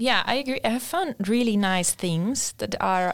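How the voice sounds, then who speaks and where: In a very clean recording with a silent background, a woman with a Spanish accent speaks at a moderate pace and fairly high pitch, her pitch varying in an ordinary way. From Spain. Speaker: design master's student. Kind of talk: casual chat.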